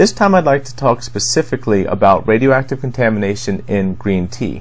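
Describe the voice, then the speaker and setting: A man's medium-pitched voice with vocal fry at a fairly quick pace. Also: ordinary pitch variation. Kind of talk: commentary on news to camera.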